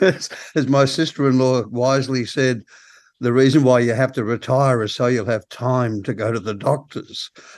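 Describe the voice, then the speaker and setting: A man with an Australian accent, medium pitch, and fairly even intonation, at a moderate pace with long, frequent pauses. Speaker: podcast host. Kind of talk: casual interview.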